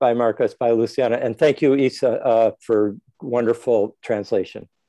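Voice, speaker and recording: A man with an American accent, a dark, mellow tone, medium pitch and fairly even intonation at a moderate pace, against a quiet background. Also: very even loudness. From United States. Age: 70s. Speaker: scholar and lecturer. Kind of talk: farewell remarks in an online talk. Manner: halting, many fillers.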